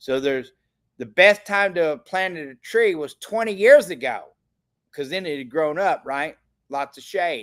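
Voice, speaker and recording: With an animated tone and lively intonation, the speaker moves at a moderate pace through big swings in loudness on a very clean recording with a silent background. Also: man, high pitch for a man. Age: 60s. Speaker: financial livestream host. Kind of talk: live stream sales pitch. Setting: livestream.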